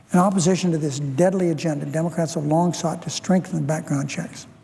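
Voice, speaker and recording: Speech at a very fast pace and with fairly even intonation comes through noticeable background noise. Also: man. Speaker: politician. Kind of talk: Senate floor speech. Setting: legislative chamber.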